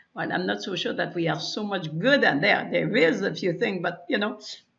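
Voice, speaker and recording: A woman's voice is heard with audible room echo. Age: 60s. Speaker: wellness practitioner and webinar presenter. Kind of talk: webinar presentation. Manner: halting, many fillers and repetitions.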